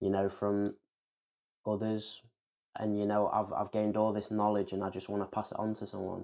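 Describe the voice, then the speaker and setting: With an English accent, a man speaks at a moderate pace in a fairly low pitch and a dark, mellow tone. His intonation is monotone and flat, broken by long, frequent pauses. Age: 20s. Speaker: author. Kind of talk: interview.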